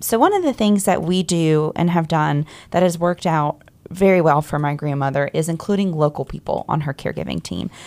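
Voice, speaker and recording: Using an ordinary speaking voice, a woman talks at a fairly quick pace with fairly low pitch and ordinary pitch variation. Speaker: co-host. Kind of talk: radio talk show. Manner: conversational.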